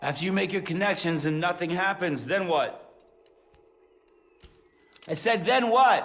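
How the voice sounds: High-pitched put-on character voice from a man, fairly bright in tone, with lively intonation and a fairly slow pace.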